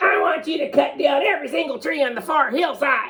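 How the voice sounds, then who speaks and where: A man's put-on character voice, extremely high in pitch, at a fairly quick pace. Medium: read story. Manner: curt, snappish.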